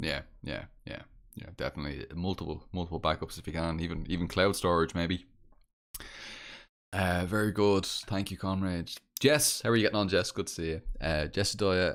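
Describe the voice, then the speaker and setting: A man's very deep, low voice with a Dublin accent, at a moderate pace with ordinary pitch variation, on a very clean recording with a silent background. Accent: Dublin Irish. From Ireland, Dublin. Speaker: podcast host. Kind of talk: casual chat. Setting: live stream. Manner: halting, repetitive.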